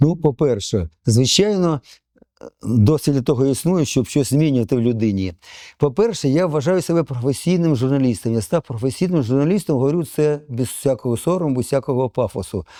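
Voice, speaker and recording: Recorded very cleanly, dry and close with no echo against a silent background, a man speaks at medium pitch in a dark, mellow tone with lively intonation and very even loudness. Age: 70s. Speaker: retired journalist. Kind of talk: interview. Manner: halting, with hesitations.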